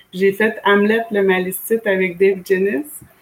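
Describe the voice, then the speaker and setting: A woman speaks very slowly with fairly even intonation over noticeable background noise. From Quebec, Wendake (Wendat community near Quebec City). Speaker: community organizer. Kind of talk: casual interview. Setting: video call.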